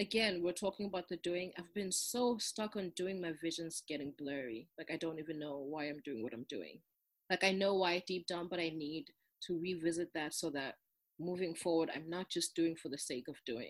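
A woman speaks with a non-native accent. Her pitch variation is ordinary. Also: fairly low pitch for a woman, moderate pace. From South Africa, Durban. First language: not English. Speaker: grad student. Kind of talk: casual chat.

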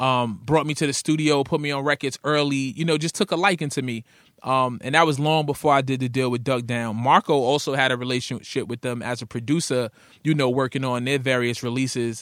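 On a very clean recording with a silent background, a man with a New York accent speaks at a fairly quick pace with fairly even intonation. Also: medium pitch for a man. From Brooklyn, New York (Coney Island). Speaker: rapper and radio host. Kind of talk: casual interview chat.

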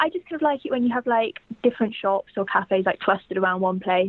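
Talking at a very fast pace, a woman speaks with a southern English accent. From England, Cambridge. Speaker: university student and fan. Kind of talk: casual chat. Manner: halting.

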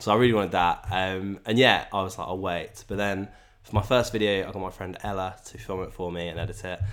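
A man's very deep, low voice at a very fast pace, in a monotone with flat intonation. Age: young. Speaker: musician and YouTuber. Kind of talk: casual chat.

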